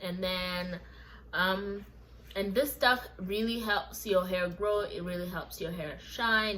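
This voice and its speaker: A woman speaks at a medium pitch with ordinary pitch variation. Her pace is fairly slow, and there is audible room echo. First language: not English. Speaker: lifestyle vlogger. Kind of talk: hair care tutorial. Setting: home kitchen. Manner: casual, chatty.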